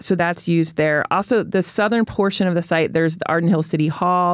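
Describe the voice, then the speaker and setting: In a normal speaking voice, a woman talks at a fairly quick pace with fairly low pitch and fairly even intonation, the recording very clean with a silent background. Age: 40s. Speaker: newspaper reporter. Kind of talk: casual interview. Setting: studio.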